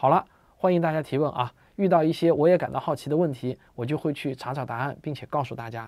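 This man talks at a very fast pace in a fairly high pitch for a man, with ordinary pitch variation. The background is quiet. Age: 40s. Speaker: science popularizer. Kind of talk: monologue explainer video. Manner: casual, filler-heavy. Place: home room.

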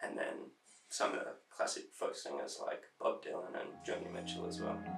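Speaking at a moderate pace, a man carries on. He has an Australian accent. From South Australia. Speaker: poet. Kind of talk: interview answer. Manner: casual, hesitant.

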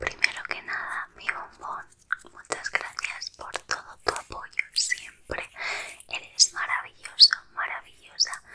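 Whispering and soft-spoken, a woman speaks at a very slow pace with big swings in loudness, over light background noise. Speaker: ASMR creator. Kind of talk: soft whispered ASMR chat. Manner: soft close-mic ASMR whisper. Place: home room. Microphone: studio mic.

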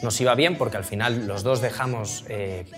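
A man talks at a moderate pace with ordinary pitch variation. Clear music plays in the background. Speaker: interviewee. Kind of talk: interview answer. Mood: relaxed, humorous storytelling. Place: studio.

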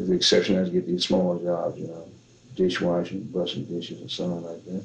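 Speaking in a Southern US accent, a man with a very deep, low pitch keeps a monotone, flat intonation despite big swings in loudness. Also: fairly quick pace. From Tennessee and Arkansas, US South. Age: 70s. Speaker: blues musician. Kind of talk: interview answer.

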